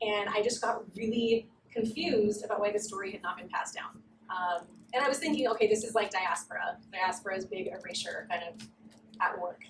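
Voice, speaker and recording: A woman with an American accent talks at a fairly quick pace in a fairly high pitch. Her voice is somewhat breathy, with big swings in loudness. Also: ordinary pitch variation. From Southern California. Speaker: writer and researcher. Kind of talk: academic talk. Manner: hesitant, many fillers.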